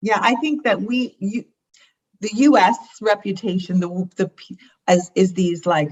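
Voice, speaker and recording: A woman with an American accent speaks at a fairly slow pace, leaving long, frequent pauses. Her voice is somewhat breathy, with lively intonation. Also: medium pitch for a woman. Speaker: founder of a women's networking organization. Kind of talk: casual interview conversation.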